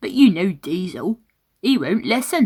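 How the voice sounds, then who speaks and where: A woman puts on a character voice. She speaks at a fairly high pitch and a moderate pace. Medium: read story.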